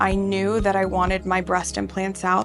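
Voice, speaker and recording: A woman speaks with music in the background. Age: 30s. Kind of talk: patient testimonial interview.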